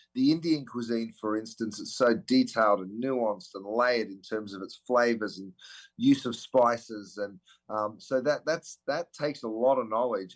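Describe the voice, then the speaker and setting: A man with an Australian accent, ordinary pitch variation and big swings in loudness. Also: medium pitch for a man, moderate pace. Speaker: celebrity chef. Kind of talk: interview answer.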